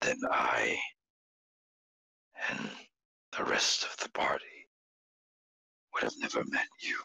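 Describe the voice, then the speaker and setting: Someone whispers in a put-on character voice, leaving long, frequent pauses. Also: fairly slow pace. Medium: actual play. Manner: solemn, measured, formal.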